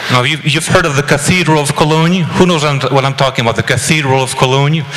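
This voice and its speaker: Through noticeable background noise, a man with a Belgian accent talks at a very fast pace, fairly high in pitch and with fairly even intonation. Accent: foreign (Belgian) accent audible. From Belgium. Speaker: panel speaker. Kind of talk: speech to an audience. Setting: panel with live audience.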